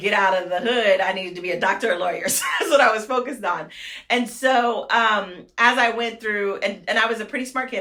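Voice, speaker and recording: Speaking fairly quickly in a Californian accent, a woman sounds animated, and audible room echo surrounds her. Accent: Californian American English. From Fresno, California. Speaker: mayor. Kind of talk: interview. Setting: office. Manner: fast.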